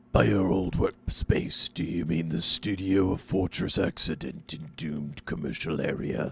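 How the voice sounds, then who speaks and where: Putting on a character voice, a man speaks at a moderate pace in a raspy, very deep, low register. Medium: video game.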